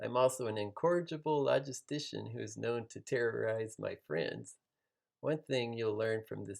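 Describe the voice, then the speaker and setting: A man is speaking. His pace is moderate. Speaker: self-improvement video host, actuary and musician. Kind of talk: scripted self-introduction to camera. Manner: energetic.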